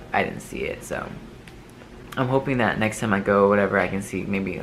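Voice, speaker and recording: Fairly even intonation moves at a fairly quick pace over noticeable background noise and audible room echo. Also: man. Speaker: vlogger. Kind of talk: casual chat. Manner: halting, many fillers and restarts.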